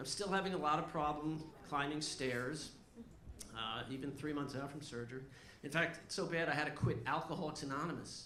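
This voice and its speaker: Over noticeable background noise and audible room echo, a man with a fairly high voice speaks at a fairly quick pace with ordinary pitch variation. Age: 60s. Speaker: stand-up comedian. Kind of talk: stand-up. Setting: stage with audience.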